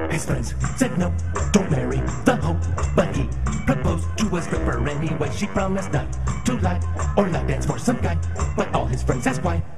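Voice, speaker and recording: A man at a fairly quick pace, with long, frequent pauses and loud music in the background. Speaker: radio producer giving a talk. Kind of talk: radio imaging announcer voiceover. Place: hall. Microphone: camera far.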